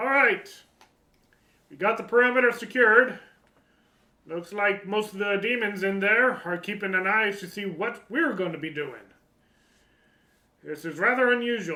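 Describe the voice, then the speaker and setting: A put-on character voice sits at a fairly high pitch and breaks up with long, frequent pauses. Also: moderate pace. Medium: actual play. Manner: brisk, commanding.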